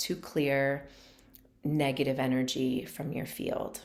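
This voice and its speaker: A woman speaks with a very deep, low pitch. Her tone is calm and her pace fairly slow. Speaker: meditation teacher. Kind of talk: guided meditation; casual talk to camera. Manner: calm, slow.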